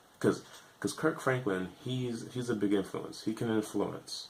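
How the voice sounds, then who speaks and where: A man talks at a moderate pace. He uses an ordinary speaking voice. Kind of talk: casual talk to camera.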